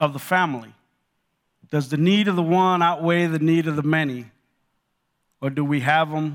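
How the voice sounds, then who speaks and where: In a very clean recording with a silent background, a man speaks with an American accent. His pitch is fairly high and his tone bright and sharp. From Los Angeles, California. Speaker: retail executive sharing his story at church. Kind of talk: testimony. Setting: church.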